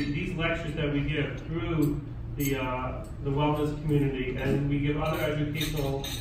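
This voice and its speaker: A man speaks at a moderate pace in a monotone, flat way, with noticeable background noise and strong room echo. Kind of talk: lecture. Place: hall. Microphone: camera far.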